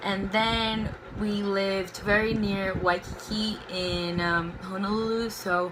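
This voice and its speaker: Heard through audible room echo and noticeable background noise, a woman with a Portuguese accent speaks at medium pitch with fairly even intonation. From Brazil, Belo Horizonte. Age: 20s. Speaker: book vlogger. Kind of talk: casual chat. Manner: spontaneous, unscripted.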